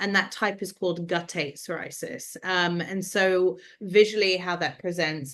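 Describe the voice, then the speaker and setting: At a moderate pace, a woman speaks with a London accent and a medium pitch. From London, England. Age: 30s. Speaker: skin condition advocate and film producer. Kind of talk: interview conversation.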